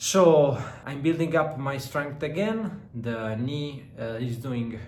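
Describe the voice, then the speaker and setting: A man at medium pitch, very slow, with an Italian accent and lively intonation, in audible room echo. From Southern Italy. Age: 30s. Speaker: fitness vlogger and entrepreneur. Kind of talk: vlog talk to camera. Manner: hesitant, many filler sounds.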